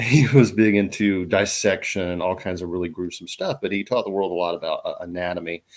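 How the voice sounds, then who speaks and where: A man speaks with a Southern US accent at a moderate pace. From Southern Appalachia, North Carolina, USA. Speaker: herbalist. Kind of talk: interview answer. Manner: casual, conversational.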